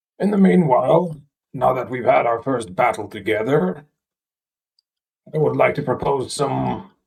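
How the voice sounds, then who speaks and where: A man uses a raspy, put-on character voice. His pitch is medium and his pace moderate. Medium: actual play. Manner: polite, measured, formal.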